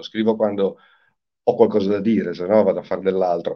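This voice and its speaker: Over a quiet background, a man with a normal speaking voice talks at a fairly quick pace, his pitch fairly low with ordinary variation. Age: 60s. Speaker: singer-songwriter; guest. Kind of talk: interview. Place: home room. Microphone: video call.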